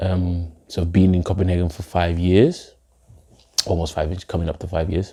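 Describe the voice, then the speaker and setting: The speaker has a British accent. Intonation is monotone and flat. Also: man, very deep, low pitch for a man, moderate pace. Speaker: poet, spoken-word artist. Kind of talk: interview answer. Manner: casual.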